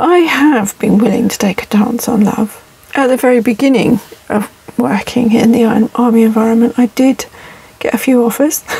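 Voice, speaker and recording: At a moderate pace, a woman talks in a fairly high voice against noticeable background noise. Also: ordinary pitch variation. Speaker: vlogger living in a camper van. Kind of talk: casual monologue vlog. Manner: reflective, hesitant with fillers.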